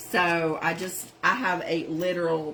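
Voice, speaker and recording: Noticeable noise sits in the background. A woman with a Southern accent speaks at a fairly low pitch. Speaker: craft channel host. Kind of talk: live-stream craft tutorial.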